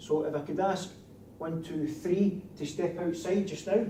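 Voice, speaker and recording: A man speaks with a strong Scottish accent at a moderate pace. His pitch varies in an ordinary way, and the room echo is audible. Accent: broad Scottish. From Scotland. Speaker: security training instructor. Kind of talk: lecture.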